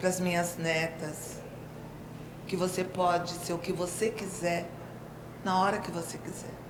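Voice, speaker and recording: A woman's fairly low, monotone, flat voice at a fairly slow pace, with long, frequent pauses, audible room echo, and noticeable background noise. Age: 60s. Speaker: retired teacher and writer. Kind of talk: personal testimony.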